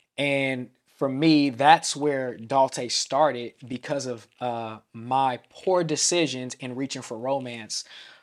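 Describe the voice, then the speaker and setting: With an American accent, a man speaks at a very slow pace and keeps a fairly even intonation. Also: medium pitch for a man. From US West Coast, Vallejo in the Bay Area. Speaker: pastor. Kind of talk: casual interview.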